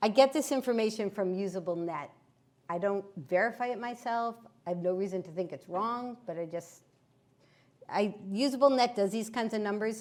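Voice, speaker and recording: With a plain, everyday voice, a woman speaks at a moderate pace and medium pitch, her pitch varying in an ordinary way while her loudness swings widely. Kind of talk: presentation with slides.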